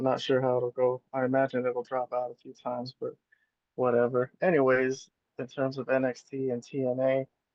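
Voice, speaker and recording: Quiet male voice at medium pitch, monotone and flat in intonation, at a moderate pace. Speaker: wrestling fan streamer. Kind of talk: casual live stream commentary. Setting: at work, live streaming from phone. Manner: quiet, low volume. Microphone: cell phone.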